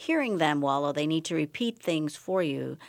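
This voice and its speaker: A woman with an American accent, fairly low in pitch, in a very clean recording with a silent background. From the Bahamas. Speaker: ENT physician. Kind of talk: radio interview about health. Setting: radio studio.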